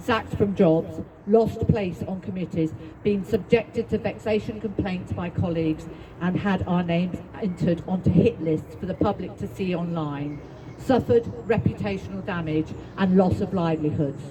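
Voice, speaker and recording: Against noticeable background noise, a woman with a fairly low pitch talks at a moderate pace with ordinary pitch variation. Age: 60s. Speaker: psychotherapist and activist speaker. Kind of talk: speech at a public rally. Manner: halting.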